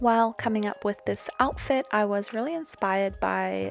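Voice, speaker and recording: Music runs in the background. A woman talks at a moderate pace. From New Zealand. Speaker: crafter, doll customizer. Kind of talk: voiceover narration of craft tutorial.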